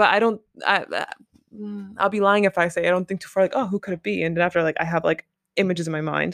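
A woman speaks very fast in an animated tone at a fairly low pitch. The sound is dry and close with no echo, and the recording is very clean with a silent background. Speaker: podcast host. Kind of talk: casual solo monologue. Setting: home recording, Paris. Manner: chatty, animated.

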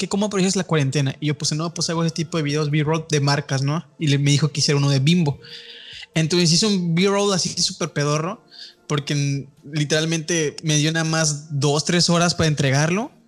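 Noticeable background noise sits under a voice with a Mexican accent. The intonation is fairly even and the pace fairly quick. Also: man. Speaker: film podcast host. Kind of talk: casual chat.

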